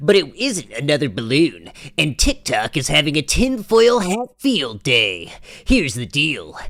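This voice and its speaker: A man performs a put-on character voice. His pitch swings very widely. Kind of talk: tabloid gossip-news delivery. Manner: punchy, exaggerated.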